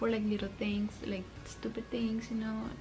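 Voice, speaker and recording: A woman's fairly high voice over background music, with audible room echo. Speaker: vlogger. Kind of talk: casual Q&A vlog. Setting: at home at night. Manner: code-switches Spanish words.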